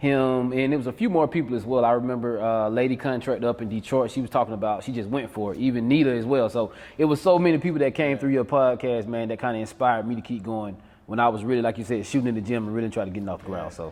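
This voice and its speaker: Speaking very fast with hardly any pauses, a man with a South Georgia accent uses a medium pitch and ordinary pitch variation. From South Georgia, US. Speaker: real estate wholesaler. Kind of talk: interview conversation.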